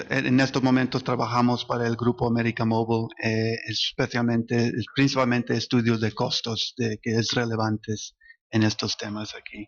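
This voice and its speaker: The speaker is a man with a medium pitch. He talks at a fairly slow pace. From US, New Jersey, Spanish parents. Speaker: economic consultant. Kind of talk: panel discussion. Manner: halting, many fillers.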